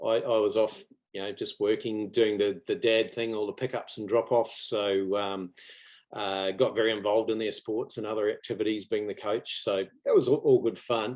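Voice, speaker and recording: Moderate pace from a man of medium pitch, with a New Zealand accent and fairly even intonation. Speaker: property investor. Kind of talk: interview. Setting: video call. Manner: halting.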